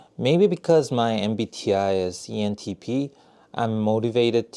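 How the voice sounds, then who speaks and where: In a very clean recording with a silent background, a man with a Korean accent speaks in a dark, mellow tone at a fairly low pitch. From South Korea. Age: 30s. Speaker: YouTuber, software engineer. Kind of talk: casual vlog monologue. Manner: halting, with fillers.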